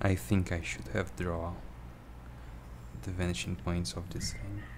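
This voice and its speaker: A voice with vocal fry speaks at a fairly slow pace, its pitch swinging very widely, with audible room echo. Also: man, very deep, low pitch for a man. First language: not English. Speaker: drawing tutorial streamer. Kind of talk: tutorial. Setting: livestream. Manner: halting. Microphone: poor microphone.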